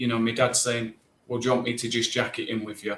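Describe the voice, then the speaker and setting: A man speaks in a somewhat breathy voice. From northern England (Burnley, Lancashire), born in southeast London. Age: 30s. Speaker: pest control company director. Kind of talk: podcast interview. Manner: many fillers and repetitions.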